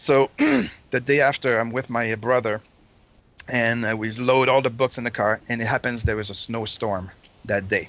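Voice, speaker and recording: With long, frequent pauses, a man speaks in a monotone, flat intonation. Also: medium pitch for a man, moderate pace. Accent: Quebec. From Quebec City, Canada. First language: French. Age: 50s. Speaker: Kiss fan and collector. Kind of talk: storytelling interview. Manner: halting.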